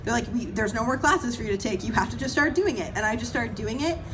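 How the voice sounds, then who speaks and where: A woman's animated, fairly high voice with ordinary pitch variation, audible room echo and noticeable background noise. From Canada. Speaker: horror film actress. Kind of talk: panel discussion. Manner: fast.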